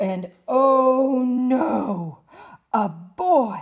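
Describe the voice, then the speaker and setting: A female-sounding, put-on character voice shouts. Its pitch is high for a woman. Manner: screaming, frightened.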